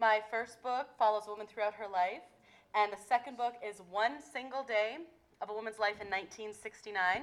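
A woman with an ordinary speaking voice talks at a fairly high pitch and a moderate pace, her loudness swinging widely. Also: fairly even intonation. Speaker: author and English teacher. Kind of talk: reading aloud from her novel.

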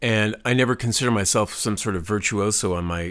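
In a very clean recording with a silent background, a man with an American accent speaks at a fairly quick pace. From Texas (from mid-teens), earlier upstate New York. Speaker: musician and visual artist. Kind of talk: interview conversation.

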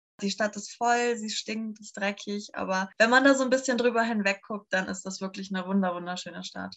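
Hardly pausing, a woman with a plain, everyday voice talks at a fairly quick pace, with medium pitch and fairly even intonation. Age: 20s. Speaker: bikepacking traveller. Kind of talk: casual chat.

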